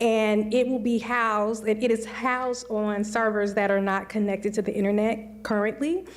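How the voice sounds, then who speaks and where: A woman speaks with an American accent and fairly even intonation. Her pitch sits fairly high. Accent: occasional Missouri twang. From Missouri. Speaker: computer science educator and researcher. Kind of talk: panel discussion. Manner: conversational with many fillers.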